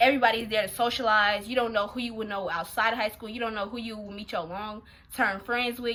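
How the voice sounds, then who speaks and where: A woman speaks in a fairly high voice. Her tone is animated, bright and sharp. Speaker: YouTuber giving advice. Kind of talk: casual vlog advice. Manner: fast.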